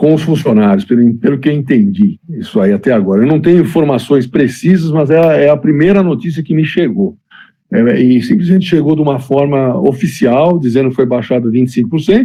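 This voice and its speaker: A man talks fairly quickly in a plain, everyday voice pitched fairly high. His intonation is lively and his loudness stays very even. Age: 60s. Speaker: former basketball player and club director. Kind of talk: interview.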